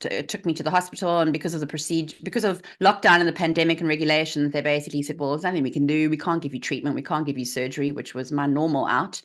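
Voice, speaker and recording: A woman with a South African accent, very deep and low in pitch, with fairly even intonation. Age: 40s. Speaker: health coach. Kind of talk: interview.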